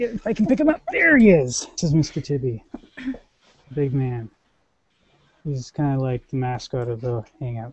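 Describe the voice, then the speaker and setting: Somewhat breathy speech at a moderate pace, with lively intonation, long, frequent pauses and a dry sound with no echo. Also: man. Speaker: show host. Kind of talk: casual chat. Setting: video call. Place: home room. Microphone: headset.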